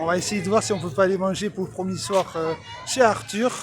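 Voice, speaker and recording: Against noticeable background noise, a man with a high pitch speaks at a moderate pace. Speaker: vlogger. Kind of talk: casual vlog narration. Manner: hesitant, many fillers.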